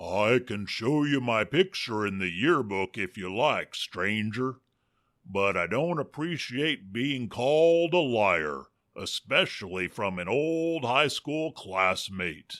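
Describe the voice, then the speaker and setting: In a very clean recording with a silent background, a man does a put-on character voice at a medium pitch, speaking fairly slowly with very wide pitch swings. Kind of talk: western drawl. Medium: audio drama. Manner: folksy, ungrammatical.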